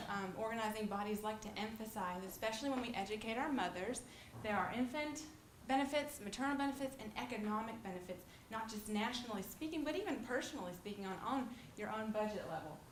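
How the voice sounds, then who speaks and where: Speaking very fast, a woman uses a fairly high pitch with ordinary pitch variation. Noticeable background noise and audible room echo surround her. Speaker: nursing student presenter. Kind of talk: lecture.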